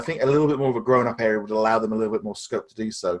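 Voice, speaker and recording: A man talks at a very fast pace in an English accent. His pitch varies in an ordinary way. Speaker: podcast co-host. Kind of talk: casual chat.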